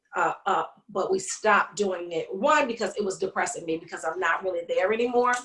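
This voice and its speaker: Here is a woman with a New York accent. She talks at a fairly quick pace. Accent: New York City. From Brooklyn, New York (East New York). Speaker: comedian and podcaster. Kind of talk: casual interview chat. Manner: fast.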